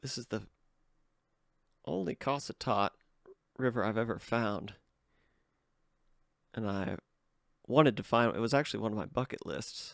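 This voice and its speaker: With a moderate pace and long, frequent pauses, a man talks at a medium pitch with ordinary pitch variation and vocal fry, the sound dry and close with no echo. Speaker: artifact hunter. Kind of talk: casual tutorial-style show and tell.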